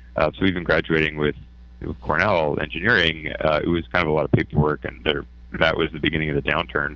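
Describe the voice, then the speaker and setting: This man talks at a very fast pace in a very deep, low voice with a bright, sharp tone and vocal fry. He has a Canadian accent and ordinary pitch variation. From Canada. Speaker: hedge fund founder. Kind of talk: interview. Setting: remote from office.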